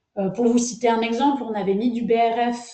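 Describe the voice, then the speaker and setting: A woman's fairly high voice with a dark, mellow tone, at a moderate pace. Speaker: agronomist researcher. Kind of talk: webinar presentation. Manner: hesitant, many fillers.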